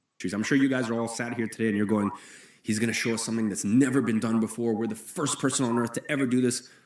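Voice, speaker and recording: Over noticeable background noise, a man speaks at a very fast pace and medium pitch in an animated tone. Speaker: online marketing presenter. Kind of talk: live webinar sales pitch. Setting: live stream.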